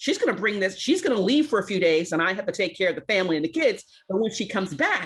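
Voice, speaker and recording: With a New York accent, a woman at medium pitch speaks very fast with lively intonation. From US Northeast, Brooklyn, New York. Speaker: community advocate. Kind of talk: roundtable discussion. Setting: video call.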